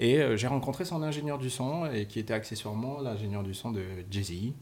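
Somewhat breathy and pitched in the middle range, a man speaks with lively intonation. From Cameroon. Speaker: music licensing executive. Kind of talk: casual interview. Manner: halting.

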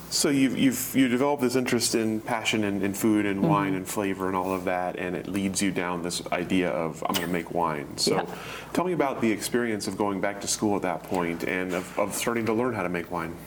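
Over noticeable background noise, a man with a fairly low pitch talks at a fairly quick pace with ordinary pitch variation. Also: hardly any pauses. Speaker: oral history interviewer. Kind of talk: interview questions. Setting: in-person interview in a library.

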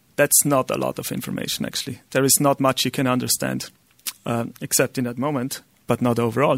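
A man with an Austrian accent speaks at a fairly quick pace in a flat monotone with vocal fry. His pitch is medium, and the sound is dry and close with no echo. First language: German. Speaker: software entrepreneur. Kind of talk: lecture. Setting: stage with audience. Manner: halting.

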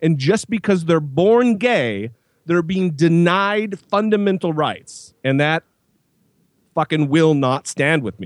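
A man with an American accent, high-pitched and very slow, with lively intonation in a dry, close recording with no echo and a quiet background. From US, small town. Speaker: atheist podcaster and video maker. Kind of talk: casual interview. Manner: animated.

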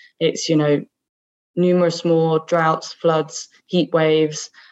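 A woman's very deep, low voice with a southern English accent. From southeast England (Kent). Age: 20s. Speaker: climate activist. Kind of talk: interview conversation.

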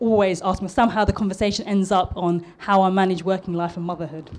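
A woman speaks at a fairly quick pace in a southern English accent, her medium-pitched voice nervous in tone and her intonation fairly even. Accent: posh southern English, formerly East London. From East London, Tower Hamlets. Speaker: architect giving a talk. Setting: restaurant talk event. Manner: a bit nervous.

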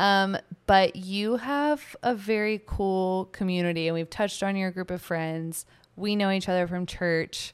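In a very clean recording with a silent background, a woman uses a plain, everyday voice at a medium pitch, with ordinary pitch variation and a fairly slow pace. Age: 20s. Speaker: podcast co-host. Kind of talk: casual chat.

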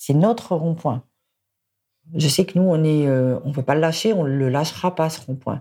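The woman's voice sits very deep and low, with a dark, mellow tone. Her pitch varies in an ordinary way, and she leaves long, frequent pauses. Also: moderate pace. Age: 50s. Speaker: service station worker and yellow vest activist. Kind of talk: interview testimony.

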